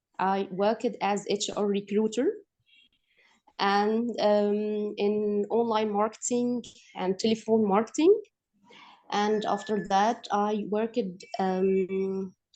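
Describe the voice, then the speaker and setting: Speaking very slowly with long, frequent pauses, a woman with an Egyptian accent uses a dark, mellow tone at medium pitch and a flat, monotone delivery. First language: Arabic. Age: 30s. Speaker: English student. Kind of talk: self-introduction. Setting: video call. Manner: halting.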